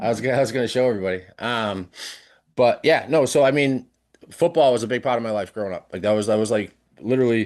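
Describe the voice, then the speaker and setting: Over a quiet background, a man with an American accent talks at a very fast pace, his medium pitch showing ordinary variation. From South Shore, Massachusetts. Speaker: podcast guest, social media creator. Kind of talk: casual chat. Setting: live-streamed podcast recording.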